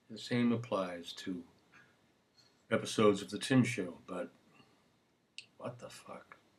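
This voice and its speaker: A man speaks quietly. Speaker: singer hosting own video show. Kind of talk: casual solo video monologue. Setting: home webcam recording. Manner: subdued. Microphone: built-in computer camera.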